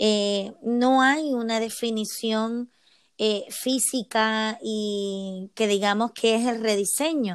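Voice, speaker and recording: The recording is very clean with a silent background as a woman talks at a fairly high pitch, her intonation fairly even. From Puerto Rico. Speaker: emotional wellbeing coach. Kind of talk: interview.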